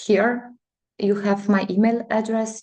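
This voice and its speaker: Very slowly, a woman with a non-native accent speaks in a dark, mellow tone. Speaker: chemical engineer. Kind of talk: lecture. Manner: halting.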